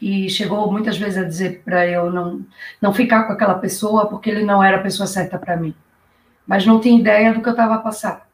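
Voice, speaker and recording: A woman speaks in an ordinary speaking voice. Her pace is fairly quick. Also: medium pitch for a woman. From Brazil, Recife, Pernambuco. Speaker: YouTuber guest, public-sector worker. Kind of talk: casual live-stream interview. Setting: online live stream. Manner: lively, upbeat.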